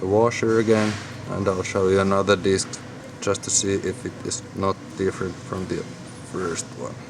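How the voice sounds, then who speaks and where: A man with a Finnish accent talks at a moderate pace and fairly low pitch with fairly even intonation, long, frequent pauses and noticeable background noise. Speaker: lock hobbyist. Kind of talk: tutorial. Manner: halting.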